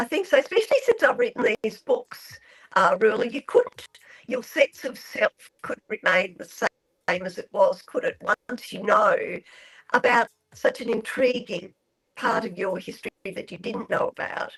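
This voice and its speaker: A woman speaks at a moderate pace. She leaves long, frequent pauses. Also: big swings in loudness, dry, close sound with no echo. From Australia. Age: 70s. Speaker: author. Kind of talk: radio interview.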